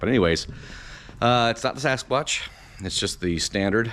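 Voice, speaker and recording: A man's fairly quick speech with lively intonation. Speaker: car DIY vlogger. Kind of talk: casual tutorial. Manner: halting.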